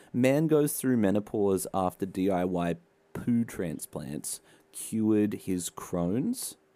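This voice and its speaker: A man with a fairly low, dark, mellow voice speaks at a very slow pace. His intonation is lively, and the recording is very clean with a silent background. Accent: Australian. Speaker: podcast co-host. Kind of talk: casual comedic podcast chat.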